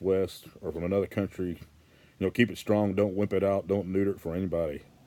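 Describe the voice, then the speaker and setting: Speaking fairly quickly in a Southern US accent, this voice has a dark, mellow tone and fairly even intonation. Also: man. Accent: Southern American. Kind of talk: casual talk to camera.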